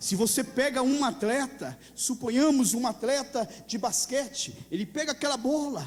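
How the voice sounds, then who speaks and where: At a moderate pace, a man with an extremely high pitch and ordinary pitch variation talks over noticeable background noise. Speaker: pastor. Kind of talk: sermon.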